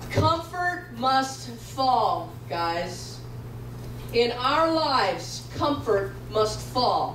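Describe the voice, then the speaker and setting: Audible room echo and light background noise surround a woman who speaks very slowly. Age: 50s. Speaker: pastor. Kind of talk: sermon. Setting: church with congregation. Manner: animated. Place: church.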